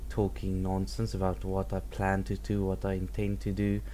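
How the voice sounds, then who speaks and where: This is a man speaking at a moderate pace. The room echo is audible. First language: not English. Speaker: gaming let's play creator. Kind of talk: gameplay commentary.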